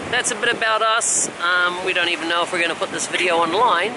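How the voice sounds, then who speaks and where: A man with an Australian accent speaks at a high pitch. Noticeable background noise and audible room echo surround his voice. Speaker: travel vlogger. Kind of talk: casual chat. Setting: outdoors at the beach.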